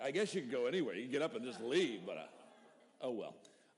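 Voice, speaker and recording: Rushing at a very fast pace, a man with a medium-pitched voice and vocal fry makes very wide pitch swings. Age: 50s. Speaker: pastor. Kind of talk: sermon. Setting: church. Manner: halting.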